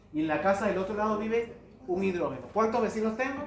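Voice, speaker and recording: Against noticeable background noise and audible room echo, a man talks at a fairly quick pace with a high pitch and ordinary pitch variation. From Latin America, foreign-born, lives in Chile. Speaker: chemistry lecturer. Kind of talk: lecture.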